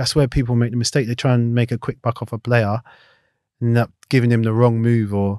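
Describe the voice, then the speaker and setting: In a South London accent, a man talks with a dark, mellow tone, the sound dry with no echo against a quiet background. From South London (Clapham/Battersea). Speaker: retired footballer; guest. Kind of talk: casual interview. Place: studio. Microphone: studio mic.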